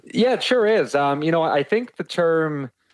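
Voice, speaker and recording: A man with a Canadian Prairies accent and lively intonation. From Saskatoon, Saskatchewan, Canada. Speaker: IT sales director. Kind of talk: casual interview.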